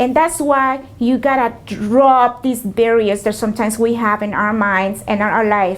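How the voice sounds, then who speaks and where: A woman with a Spanish accent talks at a fairly slow pace, fairly high in pitch with ordinary pitch variation. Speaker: small business owner. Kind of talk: interview. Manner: hesitant, many fillers.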